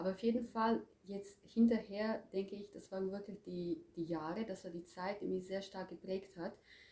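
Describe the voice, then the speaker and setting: A woman speaks with a Croatian accent. Her pitch is medium and her pace moderate. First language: Croatian (speaking German). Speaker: language teacher. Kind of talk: interview. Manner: hesitant, with fillers.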